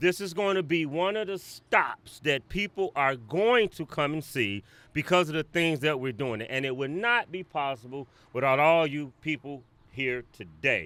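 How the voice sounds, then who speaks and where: A loud voice with a bright, sharp, animated tone and lively intonation moves at a moderate pace on a very clean recording with a silent background. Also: man, fairly high pitch for a man. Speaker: museum founder and president. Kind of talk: ceremony speech.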